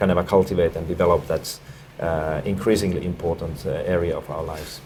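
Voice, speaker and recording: A man's very deep, low voice. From Finland. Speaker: education expert. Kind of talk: interview. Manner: halting, many fillers and repetitions.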